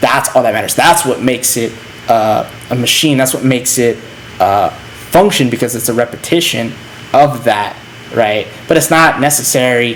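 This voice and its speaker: A man's medium-pitched voice at a moderate pace, with long, frequent pauses, ordinary pitch variation, audible room echo and noticeable background noise. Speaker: philosophy lecturer / channel host. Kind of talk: lecture. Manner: halting with fillers.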